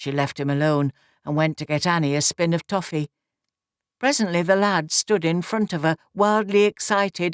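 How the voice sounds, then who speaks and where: A woman with a Nottinghamshire accent at a moderate pace, in a very clean recording with a silent background and a dry, close sound with no echo. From Nottinghamshire, England. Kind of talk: audiobook reading of a classic novel.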